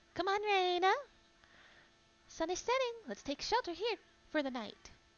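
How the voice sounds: A female-sounding, put-on character voice at an extremely high pitch moves along at a moderate pace.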